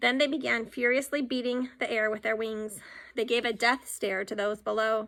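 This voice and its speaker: A woman puts on a raspy character voice, fairly high in pitch, at a fairly quick pace with fairly even intonation. The recording is very clean, with a silent background. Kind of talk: children's audiobook reading. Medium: read story.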